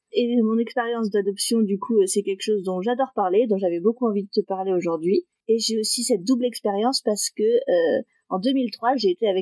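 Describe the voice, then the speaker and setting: A woman speaks at a fairly quick pace with a fairly high pitch and ordinary pitch variation. Her tone is dark and mellow, and the sound is dry and close with no echo. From northeastern France (Metz). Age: 20s. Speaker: interview guest sharing adoption story. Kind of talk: podcast interview, personal testimony. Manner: hesitant, many fillers.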